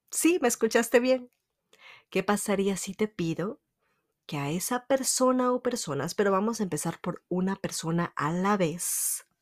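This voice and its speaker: On a very clean recording with a silent background, a woman with a plain, everyday voice speaks at medium pitch and a fairly slow pace with lively intonation. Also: dry, close sound with no echo. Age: 30s. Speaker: podcast host, self-help speaker. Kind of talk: motivational monologue.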